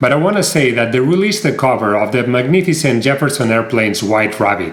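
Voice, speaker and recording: A man with a Spanish accent at a fairly quick pace. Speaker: music reviewer. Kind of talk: video review. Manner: animated.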